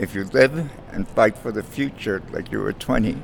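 A man speaks at an even, moderate tempo while clear background noise is heard. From Cuba. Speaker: guest. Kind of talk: personal story.

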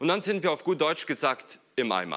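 The voice has a bright, sharp tone and very wide pitch swings, moving at a moderate pace. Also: man. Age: 20s. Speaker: preacher / youth ministry worker. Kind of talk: sermon.

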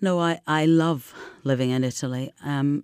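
In a Scottish accent, a woman speaks at a very deep, low pitch in a dark, mellow tone with ordinary pitch variation, on a very clean recording with a silent background and a dry, close sound without echo. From Scotland. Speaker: expat guest. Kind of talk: interview.

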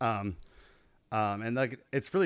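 This is a man with an ordinary speaking voice, speaking at a medium pitch and a moderate pace with fairly even intonation. The recording is very clean, with a silent background. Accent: American. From Chicago suburbs, US Midwest. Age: 40s. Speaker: musician. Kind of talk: casual chat.

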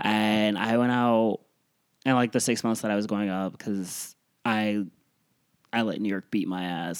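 On a very clean recording with a silent background, a man with a fairly low pitch, an ordinary speaking voice, and fairly even intonation talks in an American accent. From US Midwest, Cleveland, Ohio. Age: 30s. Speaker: stand-up comedian. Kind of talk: casual chat.

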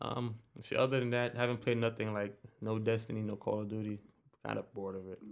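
At a very fast pace, a man speaks with fairly low pitch and monotone, flat intonation. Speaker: podcast co-host. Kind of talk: casual chat.

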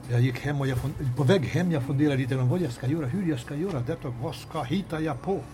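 With hardly any pauses, a man speaks very fast in a fairly high pitch, with audible room echo. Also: ordinary pitch variation. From Kosovo. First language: Albanian (speaking Swedish). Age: 60s. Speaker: teacher and author. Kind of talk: interview. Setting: railway café. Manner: halting.

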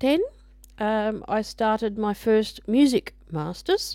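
A woman speaks at a very slow pace, with a fairly high pitch. Her tone is dark and mellow, and her pitch varies in an ordinary way. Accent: Australian. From Australia, Brisbane. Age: 40s. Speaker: podcaster and music student. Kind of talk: casual monologue. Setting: home recording into microphone. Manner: halting, many fillers.

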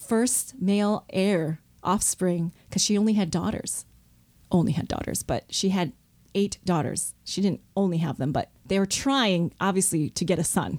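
An ordinary speaking voice with an American accent moves at a fairly slow pace, with ordinary pitch variation and very even loudness, on a very clean recording with a silent background. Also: woman, medium pitch for a woman. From US Midwest, Detroit suburbs (Michigan). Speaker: seminary professor. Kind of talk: interview.

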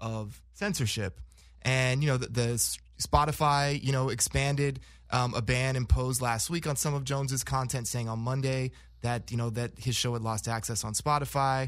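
A man with a normal speaking voice, medium pitch, ordinary pitch variation and moderate pace, in a very clean recording with a silent background. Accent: American. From Los Angeles, Inglewood. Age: 30s. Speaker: panelist. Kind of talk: casual chat.

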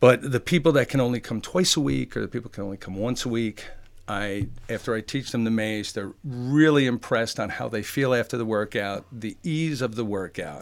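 A man, an unremarkable speaking voice, talks fairly quickly at a medium pitch with ordinary pitch variation. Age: 50s. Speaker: fitness trainer, military veteran. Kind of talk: casual interview.

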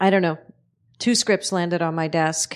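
A woman with an American accent and ordinary pitch variation. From Red Hook, Brooklyn, New York. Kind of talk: casual interview chat. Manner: halting.

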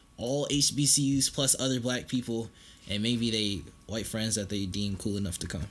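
Bright, sharp tone with ordinary pitch variation. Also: man. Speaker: college student podcast co-host. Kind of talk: casual chat.

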